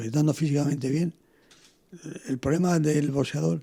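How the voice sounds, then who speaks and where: Fairly quick male voice, somewhat breathy, with a dark, mellow tone. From Spain, Toledo (born in Canary Islands). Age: 70s. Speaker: former boxer and trainer. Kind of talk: interview. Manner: halting.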